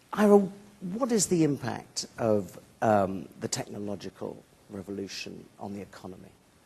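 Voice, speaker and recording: With a British accent, a man speaks with long, frequent pauses and big swings in loudness. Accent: British accent, self-described as outrageous. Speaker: moderator. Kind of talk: conference panel moderation.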